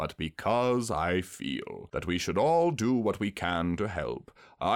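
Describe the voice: What you hear is plain reading aloud.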